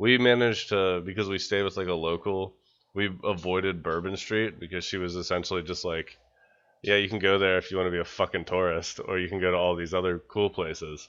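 A man with an American accent talks at a fairly quick pace in a very deep, low voice. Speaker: podcast co-host. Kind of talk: casual chat. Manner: animated, laughing often.

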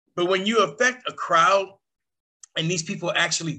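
Using a put-on character voice, a man speaks in a croaky medium pitch. His pace is moderate. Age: 60s. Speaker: podcast host. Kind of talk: casual chat. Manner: animated.

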